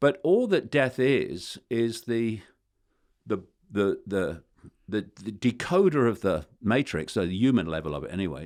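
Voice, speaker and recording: A man at a fairly slow pace, with vocal fry and very wide pitch swings, on a very clean recording with a silent background. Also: medium pitch for a man. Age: 70s. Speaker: conspiracy theorist author. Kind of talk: interview answer.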